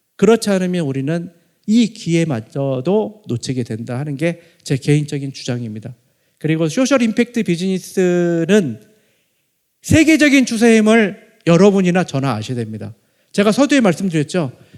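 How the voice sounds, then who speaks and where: Here a man speaks at a moderate pace. His voice is high and swings very widely in pitch. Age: 50s. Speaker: professor. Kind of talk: lecture.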